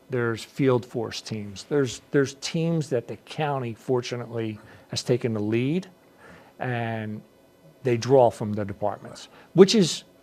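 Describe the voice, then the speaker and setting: On a very clean recording with a silent background, a man with a medium pitch and a dark, mellow tone speaks at a fairly slow pace with ordinary pitch variation. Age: 60s. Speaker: police chief. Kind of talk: interview. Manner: halting.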